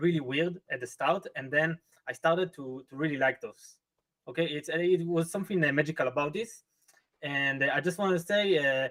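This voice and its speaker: A man with a non-native accent, fairly high pitch and ordinary pitch variation, at a fairly quick pace. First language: not English. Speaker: viewer guest. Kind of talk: casual chat. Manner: halting.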